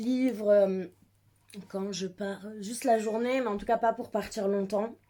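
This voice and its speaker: Here a woman speaks at a moderate pace. Her fairly high voice keeps a fairly even intonation. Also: big swings in loudness. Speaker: book vlogger. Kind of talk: casual vlog. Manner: hesitant, many fillers.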